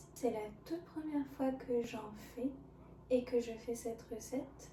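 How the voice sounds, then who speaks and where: A soft-spoken voice at a very slow pace, with noticeable background noise. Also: woman. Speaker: ASMR creator. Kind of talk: ASMR soft-spoken cooking video.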